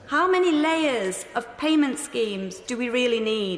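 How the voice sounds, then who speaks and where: Over noticeable background noise, a woman talks in a high pitch with very wide pitch swings. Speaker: member of parliament. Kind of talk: parliamentary speech.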